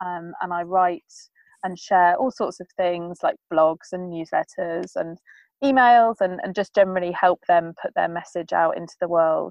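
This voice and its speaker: In an English accent, a woman speaks at a fairly low pitch with ordinary pitch variation. Her loudness swings a lot. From England. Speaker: sustainable living blogger. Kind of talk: interview. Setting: remote call. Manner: fast.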